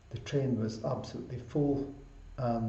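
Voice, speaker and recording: Over noticeable background noise and audible room echo, a man with a Glasgow accent speaks fairly slowly at a medium pitch with fairly even intonation. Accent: Scottish (Glasgow) English. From Scotland (Glasgow), Punjabi Sikh family. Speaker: doctor, public health. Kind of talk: interview. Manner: formal.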